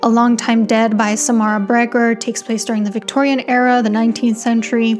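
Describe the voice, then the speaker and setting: The speaker talks at a fairly quick pace with a non-native accent and fairly even intonation, over noticeable background noise. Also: woman. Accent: non-native English, struggles with some words. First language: not English. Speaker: author and book video creator. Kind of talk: casual explainer video. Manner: conversational, frequent filler 'like'.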